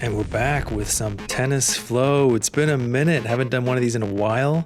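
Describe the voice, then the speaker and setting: With music in the background, a man talks at a moderate pace in a relaxed tone. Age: middle-aged. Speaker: amateur tennis player. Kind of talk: casual commentary over own gameplay footage. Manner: relaxed, conversational, many fillers.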